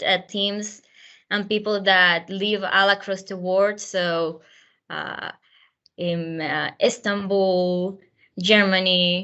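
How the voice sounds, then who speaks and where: A woman speaks very slowly in a Spanish accent, her pitch medium. Her intonation stays flat and monotone throughout. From Venezuela. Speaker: university alum panelist. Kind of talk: panel talk. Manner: hesitant, many fillers.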